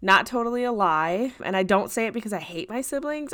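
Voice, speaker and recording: A woman speaks in an American accent with an unremarkable speaking voice. Her pace is moderate and her intonation lively. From US Midwest. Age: 20s. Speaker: podcast co-host. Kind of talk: casual chat.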